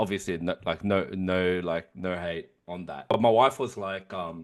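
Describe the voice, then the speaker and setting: A man speaks with an Australian accent in a very deep, low voice. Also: ordinary pitch variation. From Sydney, Australia (Canterbury-Bankstown), Korean-Australian. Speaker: podcast co-host. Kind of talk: casual chat. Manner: fast; animated.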